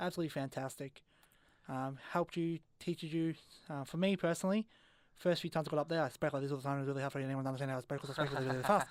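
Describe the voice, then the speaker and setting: A man with an Australian accent, fairly high pitch, fairly even intonation and a very fast pace. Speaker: radio host and amateur comedian. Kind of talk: casual chat.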